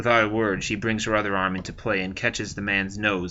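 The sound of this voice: With fairly even intonation, the reading voice comes across as unforced.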